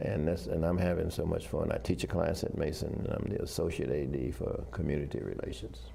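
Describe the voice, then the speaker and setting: Talking at a fairly quick clip with hardly any pauses, a man with a very deep, low voice and ordinary pitch variation is heard over noticeable background noise and audible room echo. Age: 80s+. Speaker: retired army officer and professor. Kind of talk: interview. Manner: halting.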